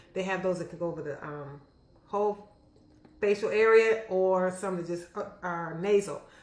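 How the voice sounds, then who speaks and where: Using a plain, everyday voice, a woman talks at a moderate pace with medium pitch and fairly even intonation. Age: 60s. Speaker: physician. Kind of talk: health education vlog. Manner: casual, conversational.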